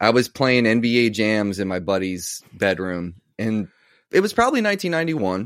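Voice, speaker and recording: A man's fairly low voice, a plain, everyday voice at a moderate pace, on a very clean recording with a silent background. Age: 40s. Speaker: guitarist and youtuber. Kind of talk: casual chat.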